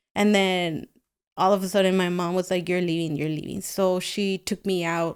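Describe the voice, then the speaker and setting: This very clean recording with a silent background carries a monotone, flat intonation at a moderate pace. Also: woman, medium pitch for a woman. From Guatemala. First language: Spanish. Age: 30s. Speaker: painter. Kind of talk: casual interview.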